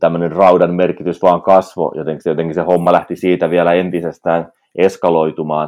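Very deep and low, a man's voice moves at a fairly quick pace in a flat monotone. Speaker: podcast co-host. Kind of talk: casual chat.

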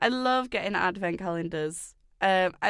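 Speaking at a fairly slow pace with an English accent, a woman uses a medium pitch in a very clean recording with a silent background. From England. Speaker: podcast host promoting a production company. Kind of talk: casual chat. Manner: nervous, rambling.

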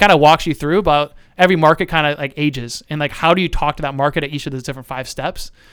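A man's fairly high voice races along at a very fast pace with fairly even intonation. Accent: US Midwestern. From central Ohio. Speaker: marketing business owner. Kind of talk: casual interview.

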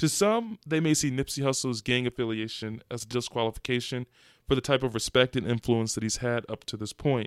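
This man talks at a fairly quick pace, his medium pitch moving with ordinary variation. The sound is dry and close with no echo, and the recording is very clean against a silent background. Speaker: podcast host. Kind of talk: solo podcast rant, opinionated commentary. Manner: impassioned, fervent, emphatic with building intensity; fluent, articulate, polished delivery.

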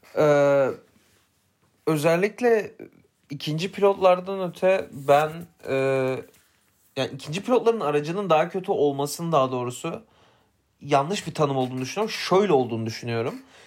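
A man with a fairly high voice talks at a moderate pace with lively intonation, leaving long, frequent pauses. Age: 20s. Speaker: podcast co-host, F1 commentator. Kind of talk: casual chat. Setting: studio, face to face.

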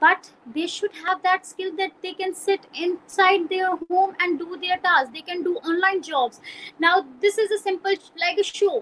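Extremely high-pitched, a woman speaks fairly slowly in a Pakistani Punjabi accent. Her tone is bright and sharp, with fairly even intonation. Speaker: journalist. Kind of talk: interview. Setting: video call.

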